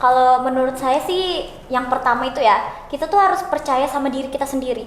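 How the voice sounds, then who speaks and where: Very fast and shrill, a woman's high-pitched voice carries ordinary pitch variation amid audible room echo and noticeable background noise. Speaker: law student. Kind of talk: casual podcast chat. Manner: talkative.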